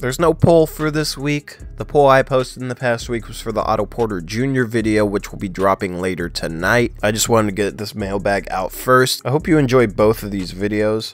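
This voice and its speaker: Music plays in the background as a man talks. He moves at a fairly quick pace with lively intonation. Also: hardly any pauses. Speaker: sports commentator. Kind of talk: casual talk to camera.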